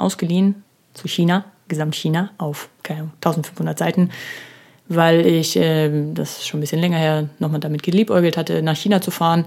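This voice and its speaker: A woman talks in an ordinary speaking voice at a fairly low pitch and a moderate pace. Her intonation stays fairly even. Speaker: podcast host. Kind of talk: solo podcast monologue. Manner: casual, with many filler sounds; laughs while speaking.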